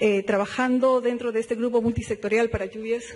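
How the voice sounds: Against faint background noise, a man speaks at an extremely high pitch.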